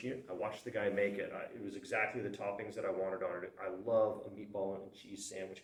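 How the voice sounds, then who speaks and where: Over noticeable background noise, a man speaks in an animated tone at a very fast pace. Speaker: middle school English teacher. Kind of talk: recorded remote lesson. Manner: loud; animated, boisterous.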